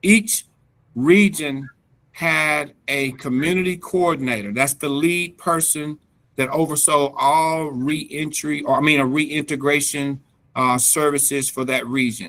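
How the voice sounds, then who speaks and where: This very clean recording with a silent background features a man with a slight North Carolina accent, a bright, sharp tone, fairly high pitch and ordinary pitch variation. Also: fairly slow pace. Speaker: reentry program expert, presenter. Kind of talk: presentation at a government task force meeting. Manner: halting, many fillers.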